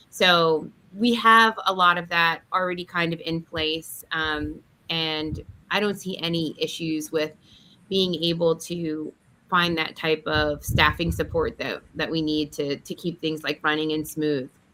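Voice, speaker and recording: With an American accent, a woman speaks at a fairly slow pace in a fairly low pitch, her tone bright and sharp and her intonation fairly even. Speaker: business owner, property investor. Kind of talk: casual chat.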